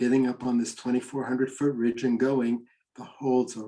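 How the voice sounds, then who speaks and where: Medium pitch and a dark, mellow tone in a man's voice. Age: 70s. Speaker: mountain climbing leader and speaker. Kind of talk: online presentation with Q&A. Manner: casual, with many fillers.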